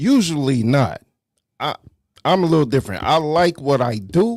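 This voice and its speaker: A man with a New York accent talks at a moderate pace. His fairly high voice swings very widely in pitch. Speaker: talk show host. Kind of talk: casual chat.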